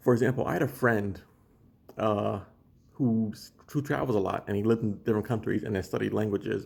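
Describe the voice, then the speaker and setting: Fairly low in pitch, a man talks at a fairly quick pace with vocal fry and ordinary pitch variation. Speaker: language learning vlogger. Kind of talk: casual monologue video. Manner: halting, many restarts and fillers.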